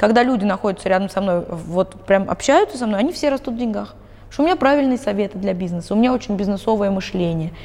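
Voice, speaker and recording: Lively intonation at a very fast pace, with clearly audible background noise. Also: woman. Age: 30s. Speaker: psychologist. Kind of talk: interview.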